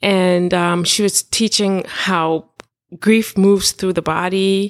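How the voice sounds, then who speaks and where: A woman at medium pitch delivers her words in a monotone, flat intonation. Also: dry, close sound with no echo. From Trinidad and Tobago. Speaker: life coach. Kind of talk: casual interview.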